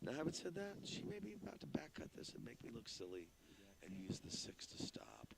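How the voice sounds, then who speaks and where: Loud and with vocal fry, a man speaks at a fairly quick pace and medium pitch with very wide pitch swings. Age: 50s. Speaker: pool commentator. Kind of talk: live commentary. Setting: pool hall. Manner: fast.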